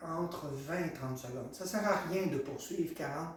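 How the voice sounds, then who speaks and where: This man's voice is high-pitched with ordinary variation in pitch. The recording has noticeable background noise and audible room echo. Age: 60s. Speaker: massage therapist. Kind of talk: tutorial. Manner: hesitant, many fillers.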